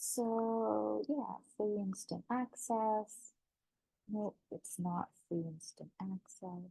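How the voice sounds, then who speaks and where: A woman at a very slow pace with ordinary pitch variation, a dry, close sound with no echo, and music in the background. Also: medium pitch for a woman. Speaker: affiliate marketer. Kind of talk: tutorial.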